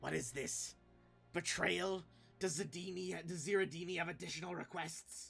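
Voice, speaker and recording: A man puts on a raspy character voice, high-pitched for a man, at a moderate pace. Music plays in the background. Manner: unhinged, indignant.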